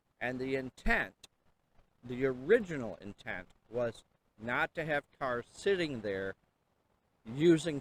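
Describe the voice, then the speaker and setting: Speech comes at a very slow pace with long, frequent pauses. The intonation is lively. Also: man, dry, close sound with no echo. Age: 60s. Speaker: city council candidate. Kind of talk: interview. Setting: outdoors by a river and falls.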